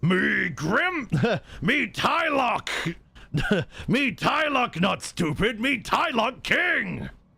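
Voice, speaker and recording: A man puts on a strained, guttural, gruff character voice at an extremely high pitch, speaking at a very slow pace. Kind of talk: broken, simple grammar.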